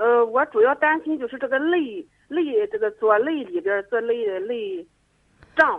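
The speaker's intonation is lively, broken up by long, frequent pauses. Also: woman, high pitch for a woman, moderate pace. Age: 40s. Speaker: caller. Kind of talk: call-in health consultation. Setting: phone call. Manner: halting, hesitant.

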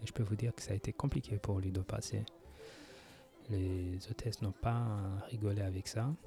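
A man's fairly low, somewhat breathy voice, dark and mellow in tone, at a moderate pace with long, frequent pauses. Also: fairly even intonation. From France. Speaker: podcaster. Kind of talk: casual monologue. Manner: halting, many hesitations.

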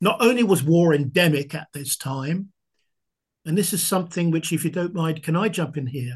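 Against a quiet background, a man speaks at a high pitch and a moderate pace. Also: ordinary pitch variation. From southern England. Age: 70s. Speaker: military historian and author; history teacher. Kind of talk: interview answers, explanatory.

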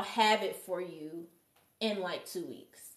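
A woman is speaking. She goes at a fairly slow pace. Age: 30s. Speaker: sound healer and massage therapist. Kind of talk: casual chat. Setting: live show with audience.

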